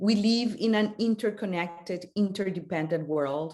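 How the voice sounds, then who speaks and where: A woman speaks with a non-native accent at a moderate pace. Her pitch varies in an ordinary way over a quiet background. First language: not English. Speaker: panelist. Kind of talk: panel discussion. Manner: halting, many fillers.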